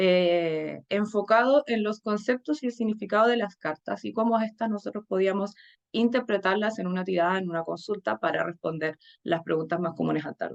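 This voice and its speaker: Medium-pitched female voice at a moderate pace, with ordinary pitch variation and a dry, close sound with no echo. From Chile, Santiago. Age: 30s. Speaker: tarot reader and teacher. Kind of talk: conference talk. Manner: hesitant with frequent fillers.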